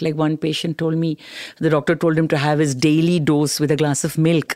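A woman with a very deep, low pitch speaks in a confident, warm tone on a very clean recording with a silent background and a dry, close sound with no echo. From Delhi, India. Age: 70s. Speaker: cancer care advocate, first-time actor. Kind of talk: casual interview chat. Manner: confident, warm, humorous.

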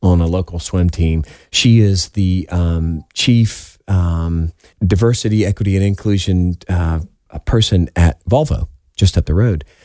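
With a Southern US accent, a man speaks at a fairly slow pace in a very deep, low pitch and a dark, mellow tone, with ordinary pitch variation, in a dry, close sound with no echo and a very clean recording with a silent background. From South Carolina, Summerville. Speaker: education technology sales executive. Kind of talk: radio interview.

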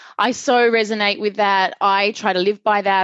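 In a normal speaking voice, a woman talks at medium pitch with fairly even intonation. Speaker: podcast host and performance coach. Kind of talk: interview conversation.

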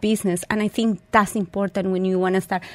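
In a very clean recording with a silent background and a dry, close sound with no echo, a woman speaks in a monotone, flat intonation. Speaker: chef and supper club founder. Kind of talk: radio interview.

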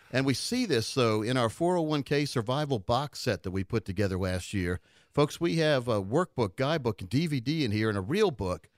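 In a plain, everyday voice, a man speaks at a medium pitch and a fairly quick pace with lively intonation and hardly any pauses, on a very clean recording with a silent background and a dry, close sound with no echo. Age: 50s. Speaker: financial advisor and radio host. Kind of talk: radio talk show. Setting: studio.

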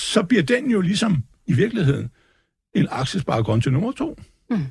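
A man's pitch swings very widely while he keeps to a moderate speed. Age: 60s. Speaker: market commentator. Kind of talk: casual talk. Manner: rambling, hesitant.

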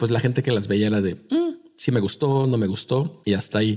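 His words come at a fairly quick pace. The man's voice has a dark, mellow tone. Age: 30s. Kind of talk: casual chat.

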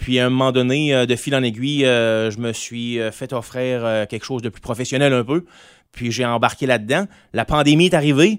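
A man with an ordinary speaking voice talks at a moderate pace and medium pitch, with ordinary pitch variation. The recording is very clean, with a silent background. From Quebec, Gaspésie (Grande-Rivière). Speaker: singer-songwriter. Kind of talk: casual interview.

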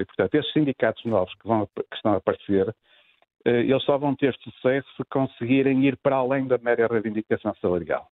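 A man speaks at a fairly quick pace in a plain, everyday voice with ordinary pitch variation. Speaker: economist, labour specialist. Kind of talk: radio interview.

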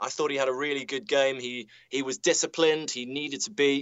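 A man with a British accent at a moderate pace. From UK. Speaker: football commentator. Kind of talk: football analysis. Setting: remote link from stadium commentary studio.

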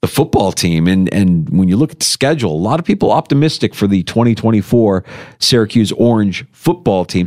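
Animated in tone and lively in intonation, a man speaks at a moderate pace in a very clean recording with a silent background and a dry, close sound with no echo. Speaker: radio sports host. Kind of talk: radio DJ patter, sports talk show banter. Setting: radio studio. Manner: animated, punchy, opinionated.

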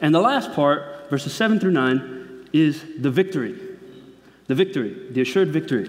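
Over noticeable background noise, a man with a fairly high voice talks at a moderate pace with lively intonation. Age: 20s. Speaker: preacher. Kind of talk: sermon. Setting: church.

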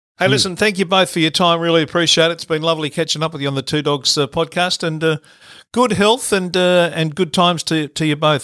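A man talks at a very fast pace in an Australian accent, his fairly high voice bright and sharp with ordinary pitch variation. The recording is very clean, with a silent background. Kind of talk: casual interview.

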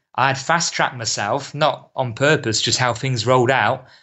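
This is a man with a British accent. His intonation stays fairly even. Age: 30s. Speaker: football coach. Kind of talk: casual chat.

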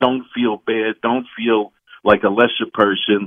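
A man is speaking. He keeps a moderate pace. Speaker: caller. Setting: phone call.

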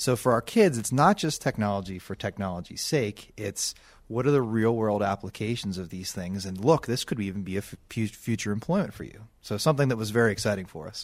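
A man with an ordinary speaking voice, an American accent and a fairly low pitch talks at a fairly quick pace, with ordinary pitch variation and big swings in loudness. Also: very clean recording, silent background. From Pittsburgh area, Pennsylvania (Bethel Park). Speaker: elementary school principal. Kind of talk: radio interview.

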